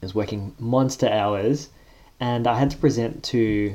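A man with an Australian accent has a dark, mellow tone. His pitch is fairly low, with ordinary pitch variation. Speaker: corporate professional. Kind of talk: casual chat.

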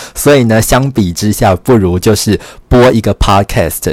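With ordinary pitch variation, a man is heard in a very clean recording with a silent background and a dry, close sound with no echo. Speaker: podcast host and writer. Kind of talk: solo podcast monologue. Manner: slow.

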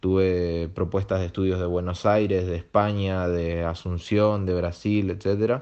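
This man has a very deep, low voice. He speaks at a fairly slow pace in a monotone, flat intonation. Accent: Argentine. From Argentina. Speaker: illustrator and designer. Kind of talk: recorded voice message.

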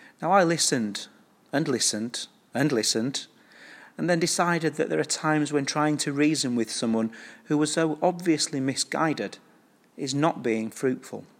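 A man with a fairly high pitch speaks in a normal speaking voice at a moderate pace, with ordinary pitch variation. The recording is very clean, with a silent background. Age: 40s. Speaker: curate. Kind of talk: sermon. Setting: church.

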